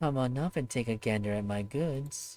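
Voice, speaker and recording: A man performs a put-on character voice. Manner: sickly sweet, honeyed, coaxing.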